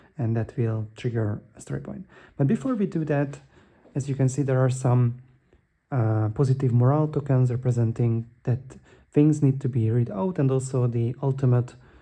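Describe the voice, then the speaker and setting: Dark and mellow in tone, this man's voice is also somewhat breathy. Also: medium pitch for a man, ordinary pitch variation, moderate pace. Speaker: board game youtuber. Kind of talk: gameplay tutorial. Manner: hesitant with fillers.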